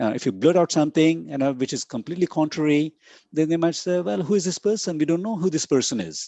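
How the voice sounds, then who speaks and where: A man with a non-native accent speaks at a very fast pace in a fairly high pitch with lively intonation. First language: not English. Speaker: conference keynote speaker on academic publishing. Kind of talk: lecture. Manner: halting with many fillers and repetitions.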